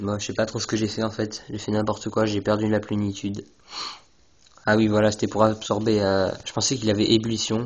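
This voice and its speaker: A man talks in a fairly low pitch. His intonation stays flat and monotone. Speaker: gaming commentator. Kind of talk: game commentary. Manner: halting. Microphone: phone recording.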